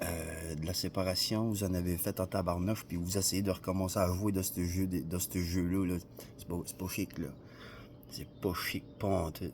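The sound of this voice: This man has a Quebec accent and a very deep, low voice. He speaks at a fairly slow pace with flat, monotone intonation. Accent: regional Quebec French.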